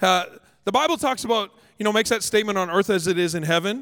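A very fast voice with a Canadian accent, on a very clean recording with a silent background. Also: man. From Canada. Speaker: pastor. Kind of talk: sermon. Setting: church stage with congregation.

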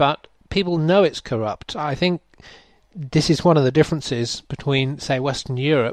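A man with an English accent at a moderate pace, dry and close with no echo, against a quiet background. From England. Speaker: podcast host and curator. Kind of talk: interview conversation.

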